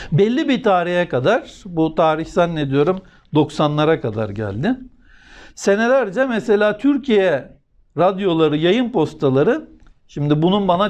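A man at a moderate pace, high-pitched with very wide pitch swings, over a quiet background. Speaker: religious commentator. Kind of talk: religious talk.

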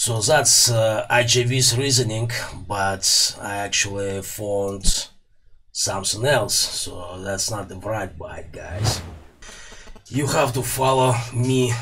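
The speaker has a Russian accent and fairly even intonation. Light background noise is audible. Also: man. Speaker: electronics repair YouTuber. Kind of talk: tutorial. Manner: casual, hesitant with fillers. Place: workshop. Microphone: studio mic.

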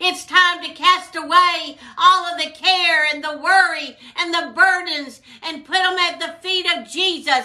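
A woman's raised, projected voice at an extremely high pitch, fairly slow, with fairly even intonation, over a quiet background. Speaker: preacher. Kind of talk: sermon with prayer. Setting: video recording for online viewers. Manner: fervent, exhortative, call-and-response style; rhythmic, repetitive, with frequent hallelujahs.

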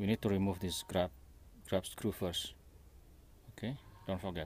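A man's fairly low, somewhat breathy voice with ordinary pitch variation and a dry sound free of echo. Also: moderate pace. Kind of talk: tutorial. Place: workshop. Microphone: phone near.

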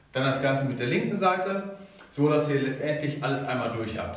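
There is audible room echo around a man's voice. He talks at a moderate pace with ordinary pitch variation. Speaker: fitness coach. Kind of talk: tutorial. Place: gym. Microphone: camera far.

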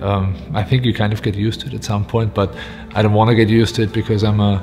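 A very fast, monotone, flat delivery over clear background music. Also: man. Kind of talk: interview answer. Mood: reflective, warm, some laughter. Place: home room. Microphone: lapel.

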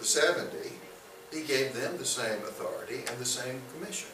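A man with an American accent, with audible room echo and noticeable background noise. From US South, Birmingham, Alabama. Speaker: bible teacher. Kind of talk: lecture. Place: classroom. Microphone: camera far.

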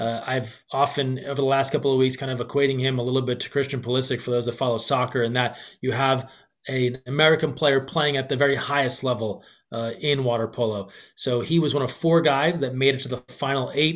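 The background is quiet. A man talks at a fairly quick pace with fairly even intonation. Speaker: podcast guest or host on sports. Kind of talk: commentary. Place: home room. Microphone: webcam.

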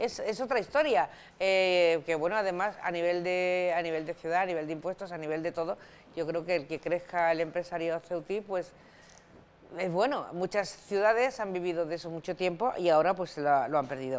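Talking at a moderate pace, a woman uses a fairly low pitch with ordinary pitch variation. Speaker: radio host. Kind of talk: radio magazine show. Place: studio.

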